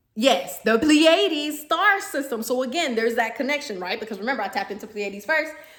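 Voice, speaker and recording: A woman speaks in an animated tone. Her intonation is lively. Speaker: spiritual medium, vlogger. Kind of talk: casual monologue vlog. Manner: fast.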